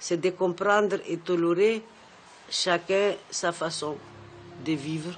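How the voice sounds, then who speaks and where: Against music in the background, a woman speaks at a very slow pace with long, frequent pauses, fairly even intonation and a fairly low pitch. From Mayotte, Mamoudzou. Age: 60s. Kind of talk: documentary interview.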